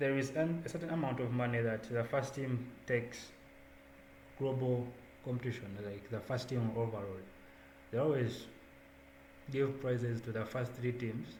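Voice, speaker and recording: In a room with audible echo, a man with a somewhat breathy voice at medium pitch speaks at a moderate pace, with fairly even intonation and long, frequent pauses. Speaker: student volunteer coordinator. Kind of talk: online onboarding presentation.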